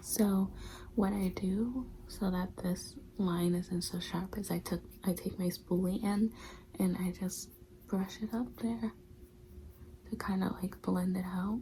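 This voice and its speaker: Speaking at a fairly slow pace with long, frequent pauses, a woman uses a medium pitch and a dark, mellow tone that is somewhat breathy. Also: ordinary pitch variation. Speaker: beauty vlogger. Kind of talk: makeup tutorial.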